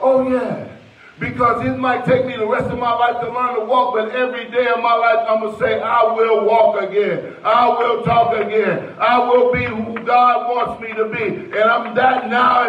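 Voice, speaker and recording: A man's extremely high-pitched, monotone, flat voice at a moderate pace with hardly any pauses, amid audible room echo. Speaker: preacher. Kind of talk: sermon delivered to a church congregation, with call-and-response and prayer. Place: church. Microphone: handheld.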